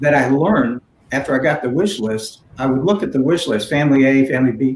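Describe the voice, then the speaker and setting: With a fairly high pitch and lively intonation, a man talks at a fairly quick pace in a plain, everyday voice. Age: 60s. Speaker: philanthropist and community leader. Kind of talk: panel conversation. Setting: virtual event.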